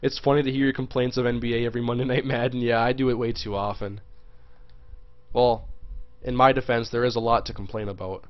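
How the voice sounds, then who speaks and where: Here a man speaks very fast at medium pitch in a monotone, flat way. Long, frequent pauses break up his speech. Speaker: video game streamer. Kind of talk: live gameplay stream commentary. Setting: live stream. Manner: casual, chatty; fast, sometimes stumbling.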